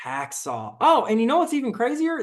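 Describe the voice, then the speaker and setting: Against a quiet background, a man talks. He has a slight Southern US accent. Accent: slight Southern twang. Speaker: soldier and gun video creator. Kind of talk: casual comment reaction. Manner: casual, many fillers and repetitions.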